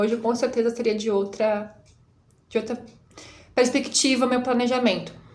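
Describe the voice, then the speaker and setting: A woman speaks with a high pitch. Audible room echo and noticeable background noise accompany her. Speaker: teacher. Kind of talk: reflective monologue. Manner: fast.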